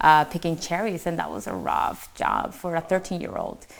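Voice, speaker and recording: A non-native accent on a very clean recording with a silent background. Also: woman. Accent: foreign accent, self-described. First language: not English. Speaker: mortgage branch manager. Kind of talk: panel discussion, personal story. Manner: halting, many fillers.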